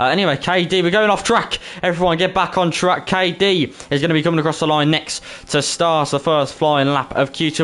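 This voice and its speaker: In a Birmingham accent, a man talks at a fairly quick pace. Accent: Brummie, Birmingham English. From Birmingham, England. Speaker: esports racing commentator and streamer. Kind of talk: casual chat with stream viewers; live commentary. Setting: live stream. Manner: casual, filler-heavy.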